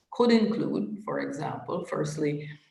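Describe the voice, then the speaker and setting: There is audible room echo around this woman's voice. She speaks at a moderate pace and a fairly low pitch. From Caribbean. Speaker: trade policy expert, panel speaker. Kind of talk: panel presentation.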